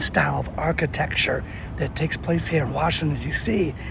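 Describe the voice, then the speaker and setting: A man talks at a moderate pace. Noticeable background noise is audible behind him. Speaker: travel and history video host. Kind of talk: on-location tour explanation. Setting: outdoors at a memorial. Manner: quieter than usual; casual, conversational with fillers.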